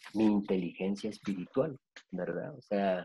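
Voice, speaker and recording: Here a man is talking. He has a Guatemalan accent. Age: 50s. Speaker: psychologist. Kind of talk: interview. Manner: halting, many fillers.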